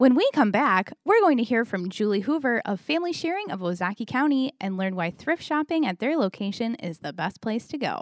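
Talking at a fairly quick clip with hardly any pauses, a woman uses a high pitch that swings very widely, recorded very cleanly with a silent background and a dry, close sound with no echo. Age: 30. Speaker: chamber of commerce podcast host. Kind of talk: scripted segment intro; casual interview.

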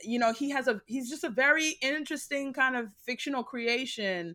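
In a very clean recording with a silent background, a woman with an American accent speaks in a high, bright, sharp voice with ordinary pitch variation. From United States. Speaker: guest speaker on race and religion. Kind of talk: casual interview chat.

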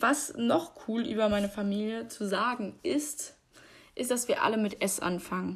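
Her tone is animated, her intonation lively, and her fairly high voice somewhat breathy. The woman is recorded very cleanly against a silent background. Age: 20s. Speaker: podcaster. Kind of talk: casual monologue.

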